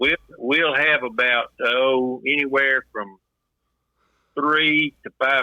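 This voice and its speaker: A man speaks with a Texan accent. His pitch sits in the medium range. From Texas, Houston. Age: 70s. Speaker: lodge secretary, freemason. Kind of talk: interview.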